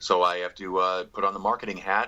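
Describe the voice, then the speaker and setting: A man talks at a fairly quick pace with a fairly low pitch. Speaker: stand-up comedian. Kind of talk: interview. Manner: halting.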